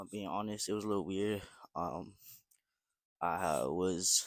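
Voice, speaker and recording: A man's very deep, low voice, monotone and flat, at a fairly quick pace, in a very clean recording with a silent background and a dry, close sound with no echo. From Vancouver, western Canada. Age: 18. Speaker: vlogger, university student. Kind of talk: casual vlog monologue. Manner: casual with frequent fillers.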